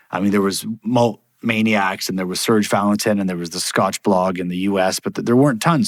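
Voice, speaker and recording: An ordinary speaking voice from a man, fairly quick in pace with ordinary pitch variation, dry and close with no echo, in a very clean recording with a silent background. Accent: Canadian. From Canada, Toronto. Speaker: whisky brand executive. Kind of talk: podcast interview.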